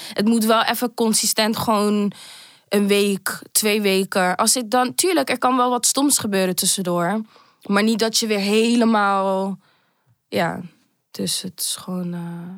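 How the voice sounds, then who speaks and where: In a very clean recording with a silent background, a woman talks at a fairly slow pace with medium pitch, fairly even intonation and an unremarkable speaking voice. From Amsterdam, early childhood in Manchester. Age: 20s. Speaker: podcast guest sharing personal story. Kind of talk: personal testimony.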